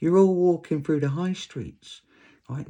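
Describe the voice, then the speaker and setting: A man speaks with a British accent and a dark, mellow tone. The background is quiet. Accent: English (UK). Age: 60s. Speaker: vlogger. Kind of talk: casual rant monologue. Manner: animated, conversational.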